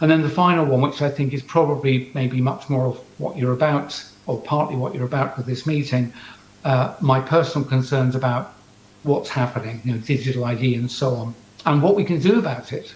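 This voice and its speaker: A man with an English accent talks at a fairly quick pace and a medium pitch, with ordinary pitch variation. There is noticeable background noise and audible room echo. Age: 60s. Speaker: scientist. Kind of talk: talk to audience via video link. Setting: video call to conference audience.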